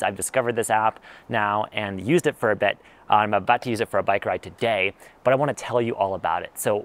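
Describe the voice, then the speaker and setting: A man talks at a very fast pace. The sound is dry, with no echo. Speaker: tech reviewer. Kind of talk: casual review to camera. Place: garden. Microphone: lapel.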